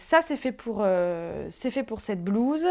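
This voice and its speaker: With a dark and mellow tone, a woman talks. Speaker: sewing vlogger. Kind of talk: casual vlog talk. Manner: loud and fast; hesitant, many filler sounds.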